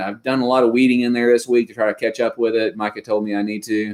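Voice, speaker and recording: A man with a Kentucky accent speaks at medium pitch. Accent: Kentucky Southern US. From Western Kentucky. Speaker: homesteading YouTuber. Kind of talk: live stream chat.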